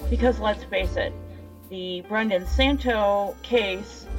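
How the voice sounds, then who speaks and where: Clear music sounds in the background. Over it, a woman speaks at a very slow pace. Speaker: true crime channel host. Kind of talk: casual podcast commentary. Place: cafe.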